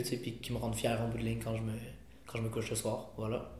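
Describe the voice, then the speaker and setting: Recorded with audible room echo and noticeable background noise, a man talks at a medium pitch. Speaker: rapper. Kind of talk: interview.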